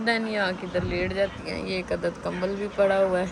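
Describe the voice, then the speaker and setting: A woman talks at a moderate pace with monotone, flat intonation. Room echo is audible, along with noticeable background noise. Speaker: vlogger. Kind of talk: casual vlog narration.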